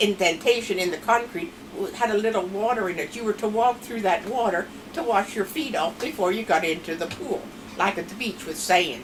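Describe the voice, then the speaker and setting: This woman has a Pennsylvania Dutch accent and a medium pitch. She speaks at a moderate pace. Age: old. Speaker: grandmother telling family stories. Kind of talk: storytelling interview.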